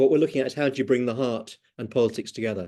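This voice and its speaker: Over a quiet background, a man talks with a dark, mellow tone and ordinary pitch variation. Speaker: democracy trainer. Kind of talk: online training session. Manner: fast.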